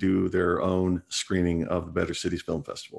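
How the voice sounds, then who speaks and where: Over a quiet background, a man with a very deep, low pitch speaks with an American accent. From US Pacific Northwest (Washington state). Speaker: film festival organizer. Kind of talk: casual interview.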